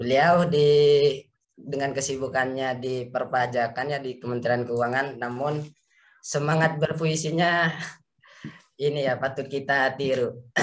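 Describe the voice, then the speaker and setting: A man speaks at a fairly high pitch. His intonation is monotone and flat. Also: fairly slow pace. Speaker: poetry community organizer. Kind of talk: event opening remarks. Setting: video call. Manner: casual. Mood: cheerful, smiling. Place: home room. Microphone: webcam.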